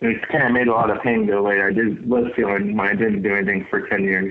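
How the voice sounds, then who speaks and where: Fairly even in intonation, the voice moves at a fairly quick pace over noticeable background noise. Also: man. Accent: American. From California. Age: 40s. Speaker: professional bass angler. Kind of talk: casual interview.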